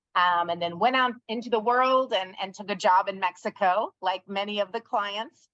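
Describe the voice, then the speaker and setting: A woman speaks at a fairly slow pace in a plain, everyday voice, medium in pitch with ordinary pitch variation. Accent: American. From United States. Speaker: company founder and CEO. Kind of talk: interview.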